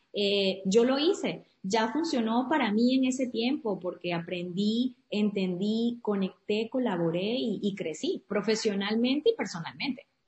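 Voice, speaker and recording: A woman's fairly high, somewhat breathy voice with lively intonation, a fairly slow pace and hardly any pauses. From Venezuela, Andes (Trujillo state). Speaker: entrepreneur and community founder. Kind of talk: interview.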